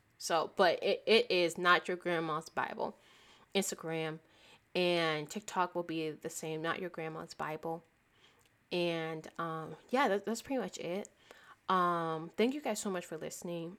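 A woman's fairly low, a plain, everyday voice at a fairly slow pace, with ordinary pitch variation, on a very clean recording with a silent background. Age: 20s. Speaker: podcast host. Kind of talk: solo faith podcast monologue. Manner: casual, conversational with fillers.

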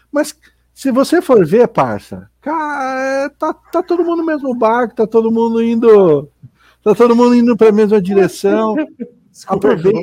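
A man's extremely high-pitched voice with a dark, mellow tone, a moderate pace and a dry, close sound with no echo. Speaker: podcast co-host. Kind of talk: casual chat.

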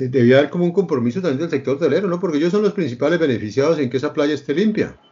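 This man talks at a very fast pace with hardly any pauses. His voice is fairly high-pitched, with ordinary pitch variation. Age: 60s. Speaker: interview show host. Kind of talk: interview.

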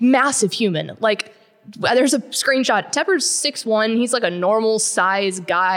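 A woman's animated Texan-accented voice with ordinary pitch variation. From Texas, Llano. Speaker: sports magazine writer. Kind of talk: casual interview.

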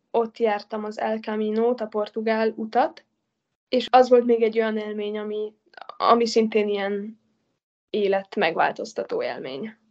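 A woman with an ordinary speaking voice speaks at fairly high pitch and a moderate pace. Her loudness swings widely while her pitch varies in an ordinary way. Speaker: traveller and hitchhiker. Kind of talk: interview.

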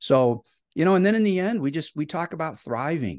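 A man with a Midwestern American accent speaks at a fairly quick pace, his pitch swinging very widely. The background is quiet, and the sound is dry and close with no echo. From Ohio, US Midwest. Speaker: educator and author. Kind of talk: podcast interview.

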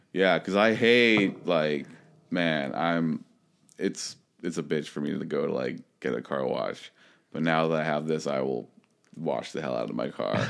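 Very deep and low-pitched with vocal fry, a man talks at a fairly slow pace with lively intonation and long, frequent pauses. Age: 30s. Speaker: podcast co-host. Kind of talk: casual chat. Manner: halting.

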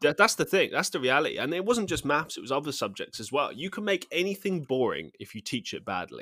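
A man rushes through at a very fast pace with hardly any pauses and big swings in loudness. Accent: British. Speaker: actor and musician. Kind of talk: casual chat. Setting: remote call, different time zones.

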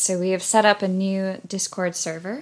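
With an American accent and an unremarkable speaking voice, a woman speaks at medium pitch and moderate pace on a very clean recording with a silent background. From United States. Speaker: humanitarian aid worker and podcast co-host. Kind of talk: casual podcast chat. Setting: same room as co-host.

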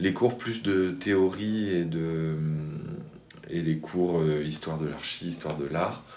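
Audible room echo surrounds a man whose very deep, low voice holds fairly even intonation. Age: 30s. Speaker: architect, cooperative co-founder. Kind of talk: interview. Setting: in his office. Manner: halting.

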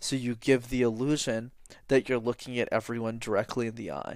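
A man with a Canadian accent talks at a fairly quick pace in an ordinary speaking voice, on a very clean recording with a silent background. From Canada, Montreal. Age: 20s. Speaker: public speaking coach. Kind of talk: interview.

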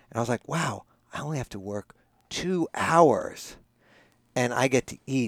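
The man has an unremarkable speaking voice. He goes at a fairly slow pace, his intonation lively. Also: dry, close sound with no echo. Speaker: author and sprout expert. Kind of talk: casual interview chat. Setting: sauna recording.

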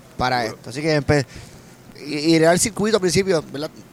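This man talks with fairly high pitch and ordinary pitch variation, and noticeable background noise can be heard. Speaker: comedian and actor. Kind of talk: casual chat. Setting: restaurant.

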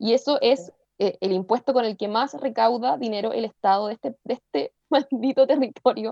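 In a Chilean accent, a woman talks at a moderate pace with a fairly high pitch, ordinary pitch variation and a dark, mellow tone, recorded with a dry, close sound and no echo. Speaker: podcast co-host. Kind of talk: casual chat.

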